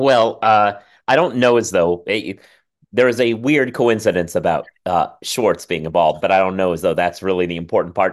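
An ordinary speaking voice from a man at a moderate pace, with lively intonation and a quiet background. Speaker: legal journalist and podcaster. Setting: video call.

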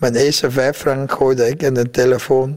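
Speaking with a Vietnamese accent at a fairly slow pace, a man keeps his intonation monotone and flat. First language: Vietnamese (speaking Dutch). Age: 50s. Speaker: butcher wholesaler, former boat refugee. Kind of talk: interview testimony.

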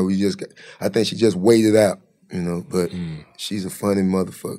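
On a very clean recording with a silent background, a man speaks in a dark, mellow tone with monotone, flat intonation. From Jacksonville, Florida. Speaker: comedian. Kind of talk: casual chat. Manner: casual, profane.

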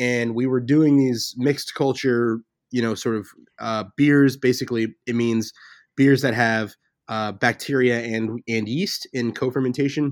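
A man with an American accent and an unremarkable speaking voice, medium in pitch, at a fairly slow pace with fairly even intonation, on a very clean recording with a silent background. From US South (Memphis, Tennessee). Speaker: brewery co-owner and head brewer. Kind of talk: interview.

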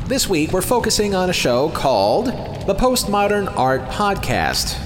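A man speaks at a moderate pace. Music can be heard behind him. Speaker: podcast host. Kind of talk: scripted podcast intro and recap commentary.

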